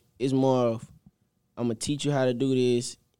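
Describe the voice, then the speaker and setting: A man with a dark, mellow tone speaks in a Southern US accent. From Mississippi. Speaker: college football player. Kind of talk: interview.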